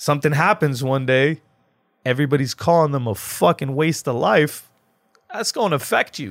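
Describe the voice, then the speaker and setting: A man speaks in a plain, everyday voice with an American accent. His pitch is fairly high, and the sound is dry and close with no echo. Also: lively intonation, moderate pace. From Lebanon, after early childhood in US. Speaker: battle rapper. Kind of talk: casual chat. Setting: studio.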